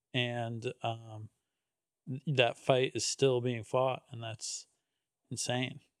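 A man with an American accent and a medium-pitched voice, very slow and flat in a monotone, with long, frequent pauses, big swings in loudness and a dry, close sound with no echo. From Connecticut, US. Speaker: podcast host and comedian. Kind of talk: casual interview.

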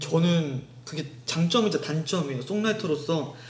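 With a normal speaking voice, a man talks at a moderate pace. His pitch is fairly high, with ordinary pitch variation. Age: 20s. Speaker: music student, singer-songwriter. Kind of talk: casual chat. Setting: recorded at home.

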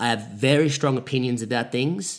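A man talks at a moderate pace with vocal fry. The recording is very clean, with a silent background. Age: 20s. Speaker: podcaster. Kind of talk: solo monologue podcast. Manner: self-correcting, trying to avoid filler words.

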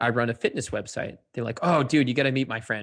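This is an unremarkable speaking voice with an American accent, moving at a fairly quick pace. Its pitch varies in an ordinary way. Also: man. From Cape Cod, Massachusetts. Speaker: fitness blogger and entrepreneur. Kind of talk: casual interview.

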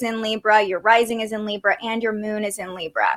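Fairly high in pitch and fairly quick in pace, a woman talks in an ordinary speaking voice. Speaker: podcast host and astrologer. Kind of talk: casual interview. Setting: live stream.

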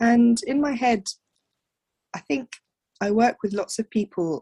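Somewhat breathy, a woman talks at a moderate pace with a southern English accent, the sound dry and close with no echo. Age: 30s. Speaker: midwife. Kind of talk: interview, personal story.

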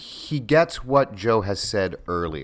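A man speaks with very wide pitch swings. His voice carries vocal fry. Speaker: actor and voiceover artist. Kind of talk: casual chat.

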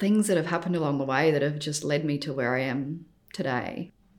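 The speaker is a woman. She talks with an Australian accent. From Australia, Adelaide. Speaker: architect and business founder. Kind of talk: interview.

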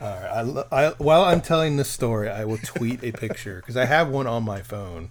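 Talking at a fairly quick pace with hardly any pauses, a man with an American accent uses a medium pitch and lively intonation over noticeable background noise. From Texas. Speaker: podcast host. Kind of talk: casual chat.

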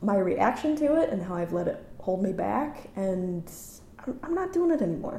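Very wide pitch swings at a moderate pace, with audible room echo and noticeable background noise. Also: woman. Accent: American. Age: 30s. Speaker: actor and writer. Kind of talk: casual interview conversation. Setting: at guest's home.

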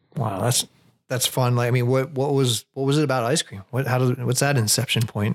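A man's fairly quick, medium-pitched delivery in an ordinary speaking voice, with fairly even intonation. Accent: American. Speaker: podcast co-host. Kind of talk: interview conversation. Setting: studio.

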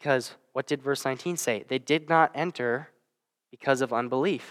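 A man with a fairly high pitch and ordinary pitch variation speaks at a fairly slow pace, in a dry, close sound with no echo on a very clean recording with a silent background. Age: 20s. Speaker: guest preacher. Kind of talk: sermon. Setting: church. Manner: halting, with fillers.

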